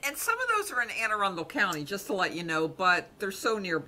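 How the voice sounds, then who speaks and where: A woman talks at a very fast clip with lively intonation. Noticeable background noise runs beneath her. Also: medium pitch for a woman. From Baltimore, Maryland.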